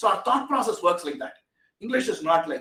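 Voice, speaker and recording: Very fast speech from a man with a Tamil Indian accent and very wide pitch swings. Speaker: AI technology expert. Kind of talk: webinar talk.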